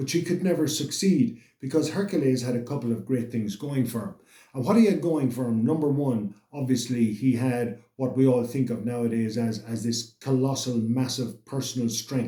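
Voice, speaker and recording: This man's voice has a dark, mellow tone at medium pitch, somewhat breathy, with ordinary pitch variation. He keeps a moderate pace with hardly any pauses. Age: 60s. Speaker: motivational channel host. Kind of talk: motivational monologue. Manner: halting, with repetitions.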